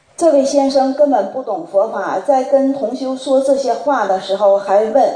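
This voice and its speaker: Her tone is dark and mellow, set at a high pitch for a woman. She speaks at a fairly slow pace. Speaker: representative of a Buddhist study group asking questions. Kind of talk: reading prepared questions aloud.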